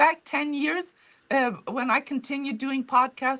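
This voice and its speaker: A woman talks in a non-native accent, her pitch high. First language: not English. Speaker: author and museum founder. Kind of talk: interview. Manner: halting.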